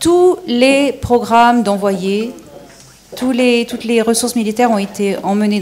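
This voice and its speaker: Over noticeable background noise, a woman talks at a fairly slow pace, her fairly high pitch moving with lively intonation. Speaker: panel speaker on extraterrestrial topics. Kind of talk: question and answer session. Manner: halting.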